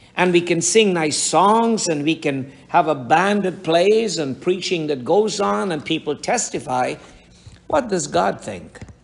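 Over noticeable background noise, a man speaks at a fairly slow pace in a high voice with lively intonation. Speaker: pastor. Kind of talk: sermon.

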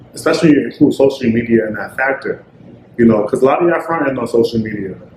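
The man's speech races at a very fast pace. Behind it sits noticeable background noise. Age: 20s. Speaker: podcast co-host. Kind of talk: casual chat.

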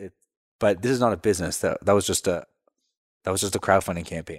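A man speaks in a calm tone with ordinary pitch variation. The sound is dry and close with no echo, in a very clean recording with a silent background. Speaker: entrepreneur, company co-founder. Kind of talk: casual interview chat. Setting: in person in a studio. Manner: even-keeled, calm.

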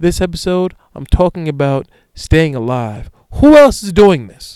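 Pitched high for a man, this man's voice has a dark, mellow tone. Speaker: solo podcast host. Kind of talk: reading aloud; casual solo monologue. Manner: stumbling over words.

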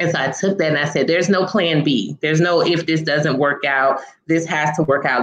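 A woman with an American accent, very deep and low in pitch, at a moderate pace with hardly any pauses and fairly even intonation, over noticeable background noise. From rural South Florida (Pahokee, the Glades). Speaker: marketing firm CEO and elected county official. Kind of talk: interview.

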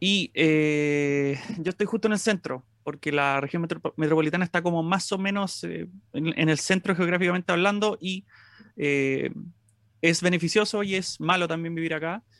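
Speaking with a Chilean accent, a man has a high pitch. The recording sounds dry and close with no echo. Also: ordinary pitch variation, moderate pace. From Chile, Santiago. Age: 20s. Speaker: music YouTuber. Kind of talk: casual chat.

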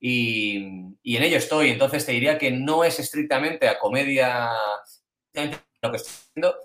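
A man talks at a moderate pace in a fairly high voice. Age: 40s. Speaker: screenwriter. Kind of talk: interview answering questions. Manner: halting.

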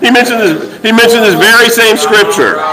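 Over noticeable background noise, a man speaks in a raised, projected voice at a high pitch. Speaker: church leader. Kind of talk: sermon. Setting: stage with audience. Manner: animated.

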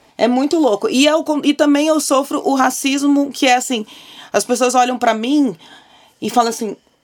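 A woman's high voice shows ordinary pitch variation as she talks at a moderate pace. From Porto Alegre, southern Brazil. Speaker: advertising professional. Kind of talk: casual chat.

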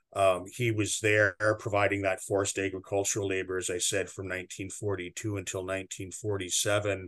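A man with a Canadian accent talks in a flat monotone, his pitch fairly low. He moves at a fairly quick pace with hardly any pauses. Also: quiet background. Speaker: museum director. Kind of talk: interview. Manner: measured, formal with frequent fillers.

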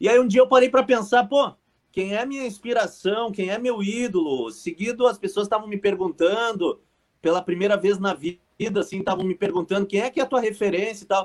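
High-pitched, a man talks at a fairly quick pace. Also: ordinary pitch variation. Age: 40s. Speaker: radio sports presenter. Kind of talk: casual interview chat.

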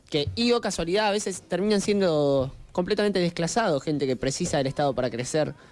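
In a Rioplatense accent, a man speaks at a very fast pace with hardly any pauses, a high pitch, lively intonation and very even loudness. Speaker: podcast co-host. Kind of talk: casual chat. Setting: studio.

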